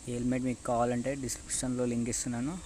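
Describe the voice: The speech runs at a very fast pace with monotone, flat intonation. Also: man, medium pitch for a man.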